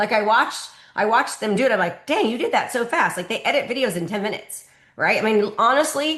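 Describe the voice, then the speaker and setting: The delivery is very fast, with lively intonation. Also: woman, fairly high pitch for a woman. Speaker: real estate coach. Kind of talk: live training call Q&A.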